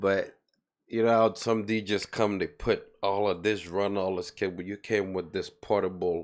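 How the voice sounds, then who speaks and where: In a very clean recording with a silent background, a man talks at a moderate pace in a very deep, low pitch with monotone, flat intonation. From Sierra Leone, moved to US around age 12. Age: 30s. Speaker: event promoter and DJ. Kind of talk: casual interview chat.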